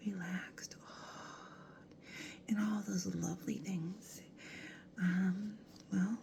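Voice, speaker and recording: The speech is very slow, broken by long, frequent pauses. Noticeable background noise runs underneath. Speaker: ASMR creator. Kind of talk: ASMR video. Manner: soft-spoken.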